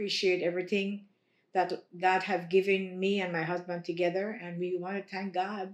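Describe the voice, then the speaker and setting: At a moderate pace, a woman speaks at a medium pitch in a monotone, flat intonation. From Belize. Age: 60s. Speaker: bereaved mother. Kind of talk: interview testimony. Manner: halting.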